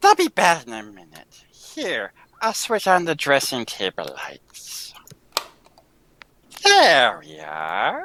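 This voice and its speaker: This voice is a put-on character voice. It moves at a fairly slow speed. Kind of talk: 1940s radio acting. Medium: audio drama.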